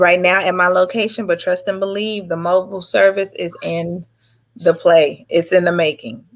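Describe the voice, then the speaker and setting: At a moderate pace, a woman with an American accent talks in a plain, everyday voice, medium in pitch with fairly even intonation. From Dallas, Texas. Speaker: actress and business owner. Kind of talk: interview.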